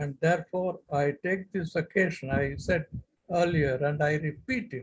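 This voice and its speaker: A man speaks with an Indian accent. His pace is fairly slow. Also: fairly high pitch for a man, ordinary pitch variation. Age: 80s+. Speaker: retired civil servant. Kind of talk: speech at online event. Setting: video call. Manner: slow, measured.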